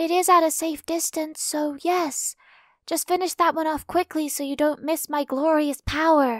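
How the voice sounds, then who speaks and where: A woman does a put-on character voice at an extremely high pitch, keeping a moderate pace. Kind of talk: overdramatic chunibyo speech. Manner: grandiose, proud, theatrical.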